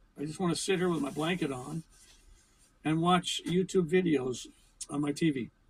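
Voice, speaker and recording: Music plays behind a man with an American accent and fairly high pitch who talks at a moderate pace with long, frequent pauses. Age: 70s. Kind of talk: casual talk to camera.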